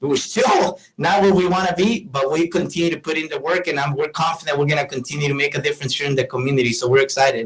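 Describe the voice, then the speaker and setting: Very fast with hardly any pauses, a man with a Mexican accent talks in a fairly high, somewhat breathy voice. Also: ordinary pitch variation. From Mexico, Morelia, Michoacan. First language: Spanish. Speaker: business owner. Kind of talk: interview.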